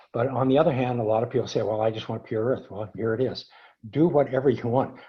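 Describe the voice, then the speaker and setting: The speaker sounds somewhat breathy and moves at a fairly quick pace. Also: man. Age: 70s. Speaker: earthing product developer. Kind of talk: webinar Q&A. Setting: online webinar. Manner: halting, many fillers and restarts.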